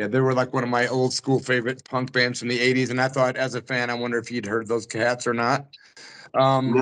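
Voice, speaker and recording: A man talks at a fairly quick pace with monotone, flat intonation. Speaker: radio host; radio show host interviewer. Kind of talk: interview. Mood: friendly, fan-like. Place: home room. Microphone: video call.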